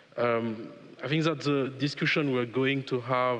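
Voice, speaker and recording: With a French accent, a man talks at a moderate pace at medium pitch with fairly even intonation over noticeable background noise. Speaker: panel moderator, law professor, former politician. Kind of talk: panel moderation. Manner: halting, many fillers.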